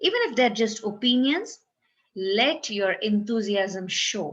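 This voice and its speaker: This woman speaks at a fairly slow pace in a medium pitch with ordinary pitch variation and a somewhat breathy quality. The background is quiet. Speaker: self-help video creator. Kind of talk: tutorial.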